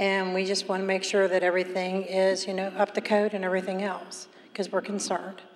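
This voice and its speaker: A woman speaks in an American accent at a fairly quick pace. Her intonation is monotone and flat. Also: medium pitch for a woman. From Northern Kentucky (Erlanger). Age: 60s. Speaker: resident giving public comment. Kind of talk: public comment.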